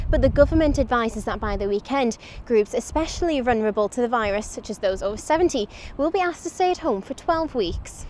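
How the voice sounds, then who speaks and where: Speaking at a very fast pace, a woman with a high pitch talks over noticeable background noise. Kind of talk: TV news narration.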